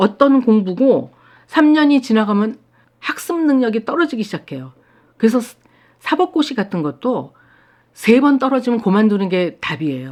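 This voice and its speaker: Speaking at a moderate pace, a woman uses a fairly high pitch that swings very widely, leaving long, frequent pauses. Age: 60s. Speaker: watercolor artist. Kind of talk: casual talk to camera. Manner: hesitant fillers.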